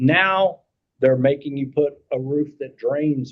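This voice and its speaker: Speaking with a Kentucky accent, a man's voice sits at a fairly high pitch. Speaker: insurance agent. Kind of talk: committee meeting discussion.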